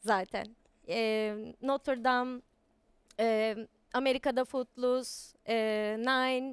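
A woman speaks with a high pitch. Her recording sounds dry and close, without any echo. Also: very clean recording, silent background. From Istanbul, Turkey. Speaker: singer and stage actress. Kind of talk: interview.

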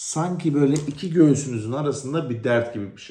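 Amid audible room echo, a man speaks in a somewhat breathy voice with a dark, mellow tone and ordinary pitch variation. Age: 30s. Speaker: vlogger, thyroid cancer patient. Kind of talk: personal testimony vlog.

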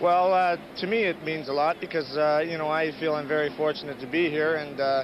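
There is noticeable background noise behind this man, whose voice sits at a fairly high pitch. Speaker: professional hockey defenseman. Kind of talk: intermission interview. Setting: arena rinkside interview. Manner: halting, many uh fillers.

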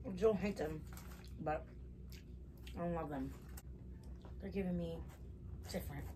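Noticeable background noise sits behind the speaker. A woman talks at a moderate pace. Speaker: mukbang vlogger. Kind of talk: casual vlog chat while eating. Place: home room. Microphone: camera far.

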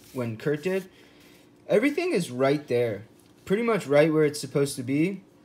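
Light background noise runs under the audio. The speaker is a man. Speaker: knife enthusiast reviewer. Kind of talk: casual commentary on test results. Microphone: phone near.

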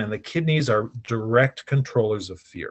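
A somewhat breathy man's voice with ordinary pitch variation, against a quiet background. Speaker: healer. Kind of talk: interview explanation. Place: home room. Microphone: video call.

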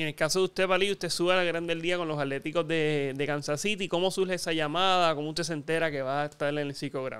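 A man's fairly high voice at a very fast pace, fairly even in intonation, with hardly any pauses. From Puerto Rico. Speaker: sports show host. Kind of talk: interview; scripted promo reading. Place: home room. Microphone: studio mic.

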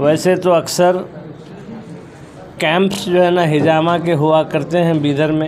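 Against faint background noise, a man with a slightly mellow tone and fairly high pitch speaks at a fairly slow pace with little pitch movement.

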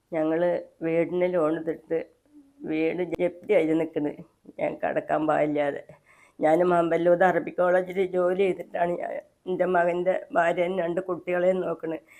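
A woman speaks in a fairly low voice with a dark, mellow tone. Her intonation stays monotone and flat. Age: 70s. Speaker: kitchen worker, family in debt. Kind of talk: personal plea.

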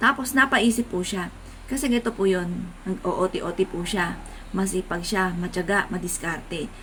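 This woman has a normal speaking voice, with ordinary pitch variation and a moderate pace. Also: medium pitch for a woman. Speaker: vlogger. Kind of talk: casual talk to camera.

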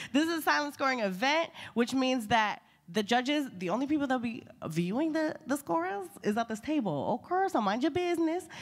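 A woman's high-pitched, animated voice at a fairly quick pace against a quiet background. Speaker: event co-host. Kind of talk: live event hosting. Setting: stage with audience. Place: hall.

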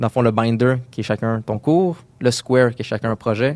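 On a very clean recording with a silent background, a man with a plain, everyday voice speaks fairly quickly at a medium pitch, using ordinary pitch variation, the sound dry and close with no echo. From Quebec, Montreal area. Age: 20s. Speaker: UX designer. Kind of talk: interview.

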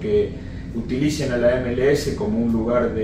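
Noticeable background noise runs under this recording. A man's voice carries audible room echo. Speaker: football coach. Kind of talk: interview answer. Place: home room.

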